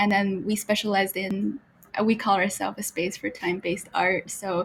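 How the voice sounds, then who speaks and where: Vocal fry marks a woman's medium-pitched voice, which shows ordinary pitch variation. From China, Beijing. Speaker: gallery co-founder and art historian. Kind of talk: podcast self-introduction.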